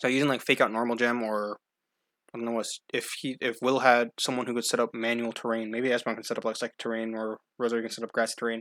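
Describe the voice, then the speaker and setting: Speaking at a very fast pace, a man delivers flat, monotone lines in a medium-pitched voice on a very clean recording with a silent background. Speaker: gaming video creator. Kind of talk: gameplay commentary.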